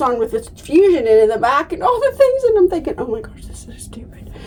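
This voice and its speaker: A woman at an extremely high pitch with very wide pitch swings and a very fast pace, over noticeable background noise. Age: 50s. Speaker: denture vlogger. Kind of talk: casual vlog talk. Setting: bathroom.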